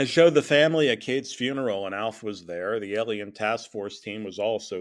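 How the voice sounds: Lively intonation colors a natural reading voice.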